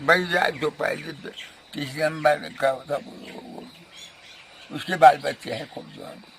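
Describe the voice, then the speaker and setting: Noticeable background noise sits behind a man with a fairly high pitch. His intonation is monotone and flat, while his loudness swings widely. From Uttarakhand, India. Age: 80s+. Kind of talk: interview answer.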